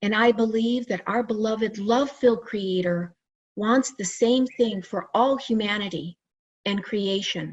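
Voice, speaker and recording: A woman's somewhat breathy, fairly high voice at a fairly slow pace, with ordinary pitch variation. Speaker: licensed psychotherapist and near-death experiencer. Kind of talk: conference presentation.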